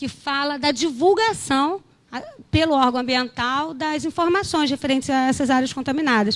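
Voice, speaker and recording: At a moderate pace, a woman talks in a high pitch. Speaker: geologist at environmental agency. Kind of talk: conference presentation. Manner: hesitant, many fillers.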